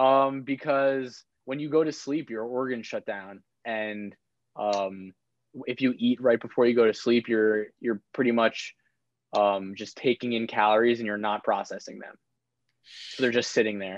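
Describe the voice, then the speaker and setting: At a moderate pace and with fairly even intonation, an unremarkable speaking voice with an American accent comes through against a quiet background. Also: man, medium pitch for a man. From Long Island, New York. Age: 20s. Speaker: navy officer trainee. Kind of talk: casual chat.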